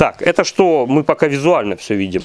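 A man with a fairly high pitch and very wide pitch swings, in a dry sound with no echo. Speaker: generator repair workshop owner reviewing equipment. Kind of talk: product review tutorial. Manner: halting. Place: workshop. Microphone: phone near.

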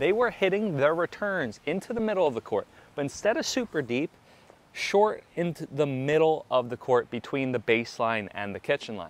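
A man talks at a moderate pace in a dry sound with no echo. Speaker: pickleball coach. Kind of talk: tutorial. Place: stadium.

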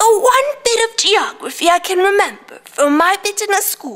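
A woman puts on a character voice at an extremely high pitch. She talks at a moderate pace. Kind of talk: theatrical monologue. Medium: stage play. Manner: rambling, repetitive. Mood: fond recollection.

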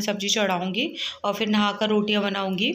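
At a fairly slow pace, a woman talks in a monotone with flat intonation. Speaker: home vlogger. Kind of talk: casual vlog chat. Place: home room. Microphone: phone near.

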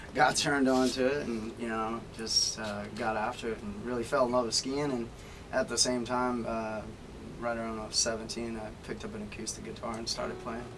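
In an American accent, a man talks at a moderate pace and medium pitch, with little pitch movement. Background noise is clearly heard.

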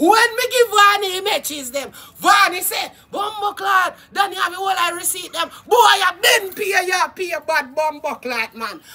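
An animated tone at a moderate pace, with a Jamaican accent. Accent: Jamaican Patois. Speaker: YouTube live streamer. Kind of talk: casual live-stream rant. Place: garden. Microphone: phone near.

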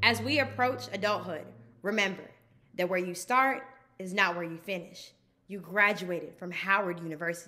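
A woman speaks at a moderate pace with lively intonation. Her loudness swings widely. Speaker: graduating student. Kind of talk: commencement speech. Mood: proud, warm, encouraging. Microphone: phone near.

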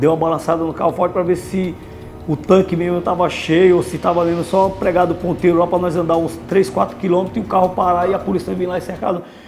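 Over faint background music, a man with a high pitch speaks at a very fast pace in a monotone, flat intonation. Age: 50s. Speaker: former criminal, prison inmate. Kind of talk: interview answer. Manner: casual colloquial storytelling. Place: meeting room. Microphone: lapel.

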